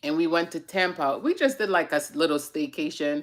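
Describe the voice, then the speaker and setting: Heard in a very clean recording against a silent background, a woman with an unremarkable speaking voice speaks at a fairly low pitch with ordinary pitch variation. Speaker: vlogger hosting a chat segment. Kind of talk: casual livestream chat.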